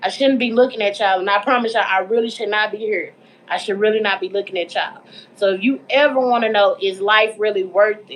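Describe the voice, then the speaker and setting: A woman talks at a very fast pace in a fairly high pitch. Her intonation stays fairly even. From Texas, Dallas. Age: 30s. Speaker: mental health advocate, livestream host. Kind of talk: casual livestream talk. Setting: livestream while cooking at home. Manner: casual, informal.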